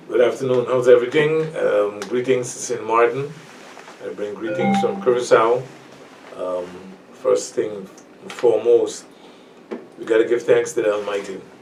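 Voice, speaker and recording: A man speaking with long, frequent pauses amid noticeable background noise. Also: moderate pace. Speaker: radio show guest.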